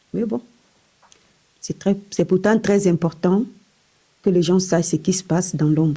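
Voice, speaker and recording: Somewhat breathy and dark, mellow in tone, a woman speaks at a medium pitch and a fairly slow pace, with ordinary pitch variation and long, frequent pauses. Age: 40s. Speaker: hospital worker sharing testimony. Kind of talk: testimony.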